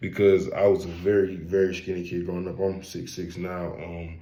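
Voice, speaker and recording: A man's very deep, low voice in an American accent, with monotone, flat intonation at a fairly slow pace and audible room echo. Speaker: college student. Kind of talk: class presentation. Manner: halting, many fillers.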